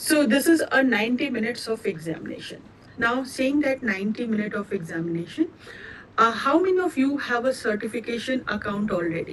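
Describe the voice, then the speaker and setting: Amid noticeable background noise, a woman with an Indian accent talks at a fairly quick pace in a fairly high voice with lively intonation. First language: Indian language, not English. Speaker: cloud certification trainer. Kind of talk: live online training session. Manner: hesitant, with many fillers.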